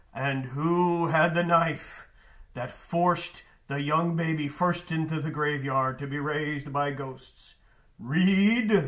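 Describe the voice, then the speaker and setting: A man uses a cartoonish character voice, fairly high for a man. He speaks at a fairly slow pace. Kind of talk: book recommendation talk for students. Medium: puppet. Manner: theatrical, spooky wailing.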